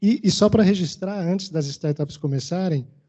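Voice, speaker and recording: At a moderate pace, a man talks with a Maranhão accent and ordinary pitch variation. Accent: Maranhão Brazilian Portuguese. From Maranhão, Brazil. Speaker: event moderator. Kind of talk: event moderation.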